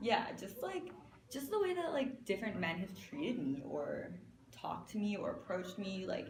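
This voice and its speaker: With a Canadian accent, a woman talks at a moderate pace, her fairly high voice making very wide pitch swings. Audible room echo and noticeable background noise are present. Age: 20s. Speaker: fashion designer. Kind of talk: interview.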